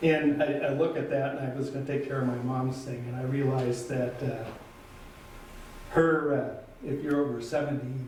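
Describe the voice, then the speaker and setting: Amid noticeable background noise and audible room echo, a man talks at a moderate pace in a fairly high pitch with monotone, flat intonation. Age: 70s. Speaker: city councilor. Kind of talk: council meeting statement. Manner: halting.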